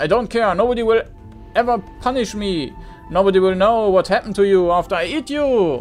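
Clear music plays behind a man doing a put-on character voice, growling at a high pitch. He speaks at a fairly quick pace. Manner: snarling, menacing, arrogant.

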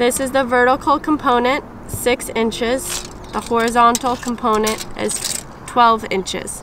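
The woman's high voice runs monotone and flat at a fairly slow pace, the sound dry with no echo but with noticeable background noise. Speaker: presenter. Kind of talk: tutorial. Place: open country.

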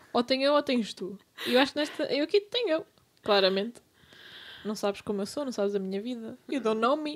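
A woman's high voice with lively intonation, a fairly quick pace and long, frequent pauses. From Lisbon, Portugal. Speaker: podcast co-host. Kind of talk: casual chat.

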